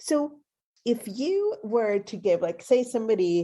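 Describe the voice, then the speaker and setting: A woman with a Swedish accent speaks in a dark, mellow tone. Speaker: podcast host. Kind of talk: interview conversation.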